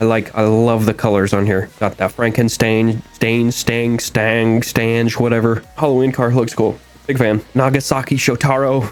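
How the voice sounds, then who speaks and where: A man speaks at medium pitch in a monotone, flat intonation, at a moderate pace with very even loudness, hardly any pauses and noticeable background noise. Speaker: gaming youtuber. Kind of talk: gameplay commentary. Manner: casual; stuttering.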